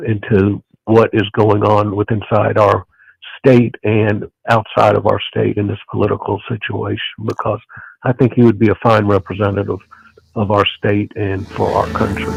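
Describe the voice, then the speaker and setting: A man with a Southern US accent, monotone and flat, with vocal fry, in a dry, close sound with no echo. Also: fairly low pitch for a man, moderate pace. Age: 60s. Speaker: caller. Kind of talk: casual chat.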